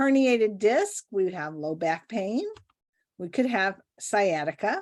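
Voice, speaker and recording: Here is a woman with an unremarkable speaking voice at medium pitch. She talks at a fairly slow pace with lively intonation. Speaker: nurse practitioner podcast co-host. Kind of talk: casual clinical case discussion.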